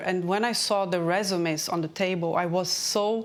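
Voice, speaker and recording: A woman speaks with a Portuguese accent. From Brazil. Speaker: career and transition strategist. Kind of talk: interview.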